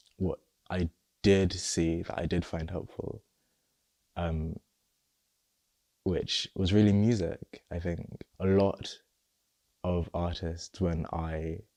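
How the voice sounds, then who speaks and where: A man's very deep, low voice with a dark, mellow tone and a southern English accent, dry and close with no echo, fairly even in intonation, very slow, with long, frequent pauses. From England, Luton, Nigerian family. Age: 20s. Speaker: interviewee sharing personal story. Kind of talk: personal testimony interview. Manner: halting, some repetitions.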